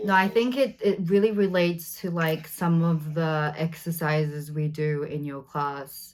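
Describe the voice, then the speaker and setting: With an Australian accent, a woman speaks at a fairly slow pace. Her pitch is fairly low, with ordinary variation. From Australia, Sydney. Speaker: actor. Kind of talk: interview conversation. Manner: hesitant, many fillers.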